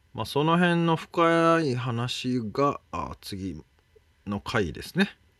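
A man at a very slow pace, fairly high in pitch, with very wide pitch swings. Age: middle-aged. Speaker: podcast co-host and interviewer. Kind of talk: casual conversational interview.

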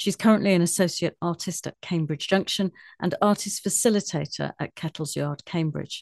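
A woman with a fairly low pitch talks at a moderate pace with ordinary pitch variation in an unremarkable speaking voice, recorded dry and close with no echo over a quiet background. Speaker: radio presenter. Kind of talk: radio interview. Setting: radio studio.

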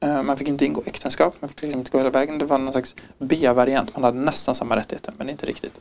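This man talks at a very fast pace, his fairly high pitch held in a fairly even intonation. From Stockholm, Sweden. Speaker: podcast guest. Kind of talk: personal testimony.

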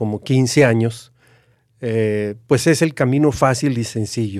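At a very slow pace, a man talks at a medium pitch with fairly even intonation in a very clean recording with a silent background. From Mexico (Aguascalientes). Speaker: retired university executive. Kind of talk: interview conversation.

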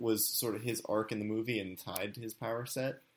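A man speaks in a fairly low voice with a bright, sharp tone. The recording is very clean, with a silent background. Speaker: substitute podcast host. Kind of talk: casual chat. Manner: thoughtful, hesitant with fillers.

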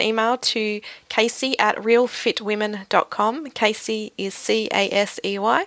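A plain, everyday voice comes through with fairly even intonation in a dry, close sound with no echo. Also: woman. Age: 30s. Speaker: podcast host. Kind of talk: interview.

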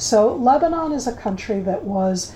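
Speaking at a fairly slow pace, a woman with an American accent has an ordinary speaking voice at a fairly high pitch. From United States. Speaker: former military intelligence officer and government spokesperson. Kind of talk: interview.

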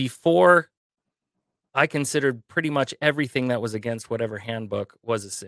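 In a normal speaking voice, a man at medium pitch goes at a fairly quick pace with ordinary pitch variation, recorded dry and close with no echo. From US Midwest, Michigan. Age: 40s. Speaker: radio host. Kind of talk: casual chat.

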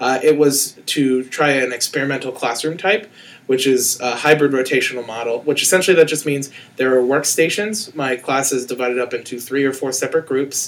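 This man has an unremarkable speaking voice, pitched at a medium level. He talks at a fairly quick pace with ordinary pitch variation. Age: 20s. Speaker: school teacher. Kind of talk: casual chat.

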